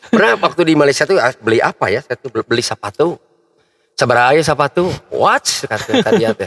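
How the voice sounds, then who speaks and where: Speaking very fast, a man with a West Javanese accent uses a fairly high pitch for a man and very wide pitch swings. The sound is dry and close with no echo. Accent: Sundanese. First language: Sundanese (speaking Indonesian). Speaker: local public figure and athlete. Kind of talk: casual chat.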